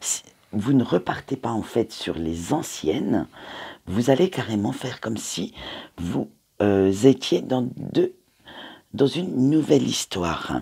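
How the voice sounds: Slow and dark-toned with a mellow quality, a man at medium pitch speaks with a slightly husky edge, vocal fry and big pitch swings.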